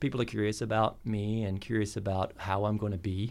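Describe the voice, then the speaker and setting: An ordinary speaking voice from a man with an American accent, fairly low in pitch, at a moderate pace on a very clean recording with a silent background. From US South. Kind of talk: casual interview.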